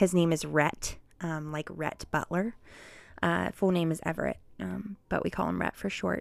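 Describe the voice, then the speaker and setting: A woman with a Midwestern American accent speaks at a moderate pace. The recording is very clean, with a silent background. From Ohio, Cincinnati. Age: 20s. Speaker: podcast host, mom. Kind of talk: casual monologue. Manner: halting, many fillers.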